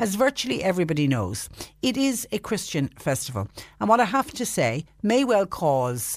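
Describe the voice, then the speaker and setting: With an Irish accent, a woman speaks at a moderate pace. Her pitch swings very widely. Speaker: radio phone-in host. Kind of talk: radio phone-in show. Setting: radio studio.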